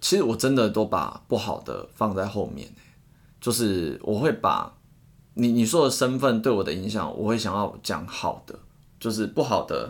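Speaking at a moderate pace, a man with a fairly low pitch shows lively intonation and vocal fry. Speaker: tutoring teacher and podcast co-host. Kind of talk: casual chat.

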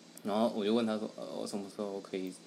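His pitch sits fairly low. The man talks very fast. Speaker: podcast co-host. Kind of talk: casual chat.

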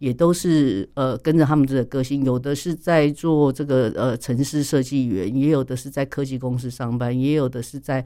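At a moderate pace, a man with a Taiwanese accent speaks at a medium pitch with fairly even intonation in a very clean recording with a silent background. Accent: Taiwanese Mandarin. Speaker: speech therapist. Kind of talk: interview.

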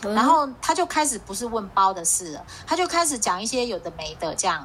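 Her pitch swings very widely as a woman talks at a fairly quick pace. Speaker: podcast co-host. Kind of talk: casual chat. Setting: video call.

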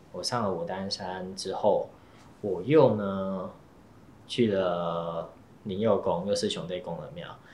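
A man with a very deep, low voice speaks at a very slow pace with ordinary pitch variation and long, frequent pauses. Audible echo fills the room. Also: big swings in loudness. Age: young. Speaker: Taoist priest. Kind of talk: interview storytelling.

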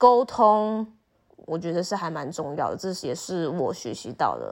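In an ordinary speaking voice, a woman talks at medium pitch with lively intonation. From Taiwan. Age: 20s. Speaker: university student, former exchange student. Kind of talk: casual interview chat.

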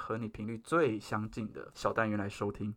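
Recorded very cleanly against a silent background, a man with a bright, sharp tone speaks at medium pitch and a moderate pace. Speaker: podcast host. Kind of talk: casual chat. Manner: formal, speech-like delivery.

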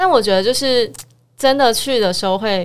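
At a moderate pace, a woman with a plain, everyday voice speaks using lively intonation. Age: 30s. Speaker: podcast co-host. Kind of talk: casual chat.

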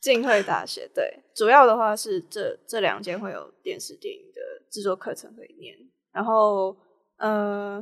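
A woman speaks at a fairly slow pace with big swings in loudness. The recording is very clean, with a silent background. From Hong Kong. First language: Cantonese (speaking Chinese). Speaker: film student. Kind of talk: casual interview.

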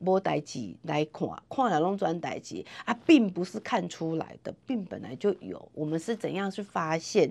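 A woman with a Taiwanese accent speaks fairly slowly in a fairly low pitch, animated in tone, with lively intonation and vocal fry. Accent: Taiwanese Mandarin. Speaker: nurse and health center manager. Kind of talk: interview.

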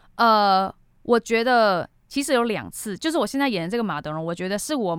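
A woman's medium-pitched voice at a fairly quick pace, with very wide pitch swings. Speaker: TV actor. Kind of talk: casual interview.

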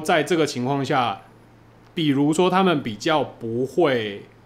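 A man's fairly high voice in a Taiwanese accent, very slow, with ordinary pitch variation. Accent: Taiwanese Mandarin. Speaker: adult film director. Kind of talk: casual chat.

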